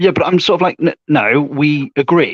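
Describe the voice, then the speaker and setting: A man with an English Midlands accent, in a dry, close sound with no echo. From English Midlands, Warwickshire. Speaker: online debater. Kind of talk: casual chat.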